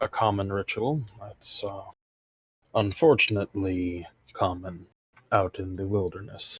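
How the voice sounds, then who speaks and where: Using a put-on character voice, a man talks fairly low and fairly slowly, with long, frequent pauses. The recording is very clean, with a silent background. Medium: actual play. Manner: measured, probing.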